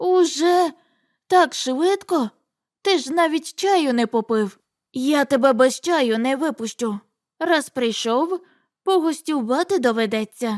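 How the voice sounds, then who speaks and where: In a very clean recording with a silent background and a dry, close sound with no echo, a woman uses a put-on character voice, high-pitched with lively intonation and long, frequent pauses. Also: fairly slow pace. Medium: read story. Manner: homely, fussing.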